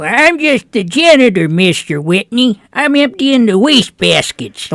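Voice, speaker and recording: Doing a put-on character voice, a man goes to an extremely high pitch at a moderate pace. His pitch swings very wide. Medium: comedy sketch. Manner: meek, apologetic.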